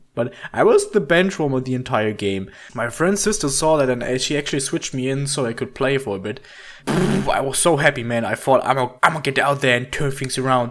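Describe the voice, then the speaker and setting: Through noticeable background noise, a man talks at a fairly quick pace and medium pitch with ordinary pitch variation. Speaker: animated storytelling YouTuber. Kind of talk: casual storytelling narration.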